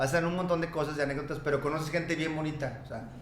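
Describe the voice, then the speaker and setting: A man with a Mexican accent and fairly high pitch, very fast pace, audible room echo, and noticeable background noise. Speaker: notary. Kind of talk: casual chat.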